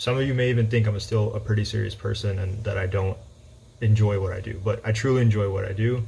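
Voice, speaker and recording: Very fast and monotone, with flat intonation, a man speaks in a fairly low, dark, mellow, somewhat breathy voice, with audible room echo. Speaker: high school math teacher. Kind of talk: personal talk to students. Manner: halting with fillers.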